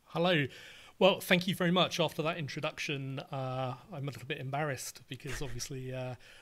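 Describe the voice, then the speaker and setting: Speaking at a fairly quick pace, a man's voice rises and falls sharply in loudness. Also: fairly high pitch for a man, ordinary pitch variation, very clean recording, silent background. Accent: British. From England. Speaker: writer and podcaster. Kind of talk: casual interview.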